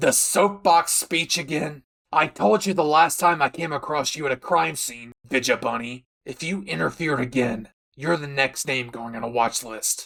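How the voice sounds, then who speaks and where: A man puts on a character voice with a fairly high pitch. His intonation is lively and his pace moderate. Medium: audio drama. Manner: aggressive, profane, barking.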